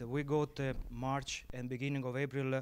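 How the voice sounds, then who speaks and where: A man at a very slow pace, fairly high in pitch, with a strong Sicilian accent. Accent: heavy Sicilian Italian. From Sicily, Italy. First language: Italian. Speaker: viticulturist. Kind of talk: panel talk. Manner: halting, many fillers.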